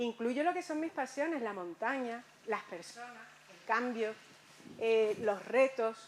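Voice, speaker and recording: At a very slow pace with long, frequent pauses, a woman with fairly high pitch uses lively intonation and big swings in loudness. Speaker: conference speaker. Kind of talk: lecture.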